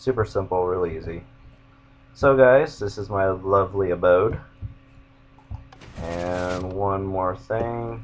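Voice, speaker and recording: Very slow speech comes from a man with a very deep, low voice. He leaves long, frequent pauses. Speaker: gaming YouTuber. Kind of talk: gameplay commentary. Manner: monotone; casual.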